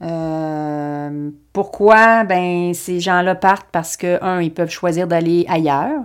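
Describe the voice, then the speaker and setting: A woman's fairly low voice at a very slow pace. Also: very clean recording, silent background. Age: 50s. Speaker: podcast host, Pilates and fitness coach. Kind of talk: personal development podcast monologue. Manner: hesitant, with frequent fillers and repetitions.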